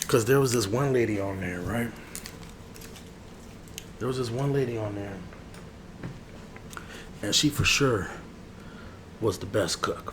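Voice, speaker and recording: Soft-spoken and relaxed, a man talks at a moderate pace and medium pitch with ordinary pitch variation and long, frequent pauses over noticeable background noise. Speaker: barber roleplay ASMR creator. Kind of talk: ASMR barber roleplay, casual conversational talk to camera. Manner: soft-spoken, relaxed, chatty.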